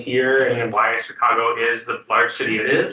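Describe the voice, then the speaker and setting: There is audible room echo on a man's voice. He speaks at medium pitch and a moderate pace. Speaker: freshwater ecologist, panelist. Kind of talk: panel discussion. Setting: stage panel with microphone. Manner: loud.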